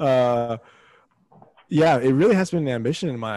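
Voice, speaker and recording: A man in a normal speaking voice with an American accent, moderate pace and ordinary pitch variation, dry and close with no echo, on a very clean recording over a silent background. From Texas, San Antonio. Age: 20s. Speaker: recording artist and TV contestant. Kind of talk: interview.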